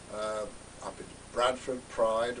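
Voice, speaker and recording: Audible room echo and noticeable background noise surround a man speaking at a fairly low pitch. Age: 70s. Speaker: retired teacher and LGBT campaigner. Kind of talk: unscripted screen test monologue. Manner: halting, many fillers.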